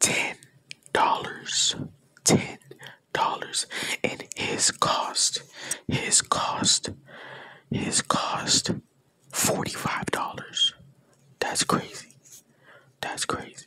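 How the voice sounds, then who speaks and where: A man whispers at a very slow pace, with long, frequent pauses. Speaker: asmr vlogger. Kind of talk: casual ASMR-style talk to camera showing a new headset. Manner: whispered, soft-spoken. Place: home room. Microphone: earbuds.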